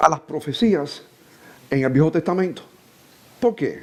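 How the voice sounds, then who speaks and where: With lively intonation, a man speaks. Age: 60s. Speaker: preacher. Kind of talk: sermon.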